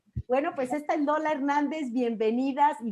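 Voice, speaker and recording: Dark and mellow in tone, a woman speaks with a Mexican accent and ordinary pitch variation over a quiet background. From Mexico City. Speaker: talk show host, teacher and mother. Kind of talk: live-streamed panel discussion. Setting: video call, live stream.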